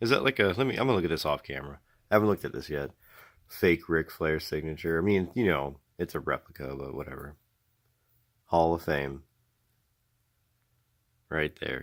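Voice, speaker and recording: On a very clean recording with a silent background, a man with a very deep, low voice and vocal fry talks at a fairly quick pace with lively intonation and long, frequent pauses. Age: 30s. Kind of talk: casual unboxing talk to camera.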